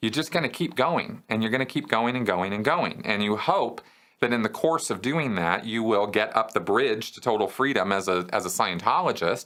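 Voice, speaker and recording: Loud and fairly quick, a man's fairly low voice with a bright, sharp tone and lively intonation. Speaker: former Scientology member answering viewer questions. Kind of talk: Q&A answer. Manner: loud and boisterous; halting, many fillers and repetitions.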